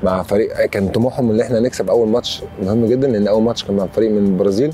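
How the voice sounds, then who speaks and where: At a very fast pace and with fairly even intonation, a man speaks in a dry sound with no echo over light background noise. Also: very even loudness. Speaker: interviewee. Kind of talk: interview answer. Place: open country. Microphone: lapel.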